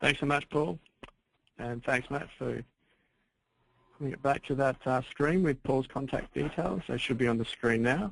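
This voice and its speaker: Speaking with an Australian accent, a man at medium pitch with ordinary variation keeps a moderate pace broken by long, frequent pauses. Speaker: webinar host. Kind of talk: webinar Q&A moderation. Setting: webinar.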